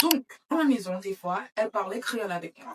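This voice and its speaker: A woman's somewhat breathy, fairly high voice with lively intonation at a moderate pace, dry and close with no echo. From Florida, Saint-Martin and France (mixed childhood). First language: English (speaking French). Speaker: beauty vlogger. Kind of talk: casual makeup vlog chat. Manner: halting, with hesitations.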